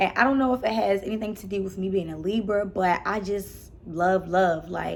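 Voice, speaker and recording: With a Baltimore accent, a woman speaks at a medium pitch. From Baltimore, Maryland. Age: 20s. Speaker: YouTuber. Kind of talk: casual chat. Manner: animated.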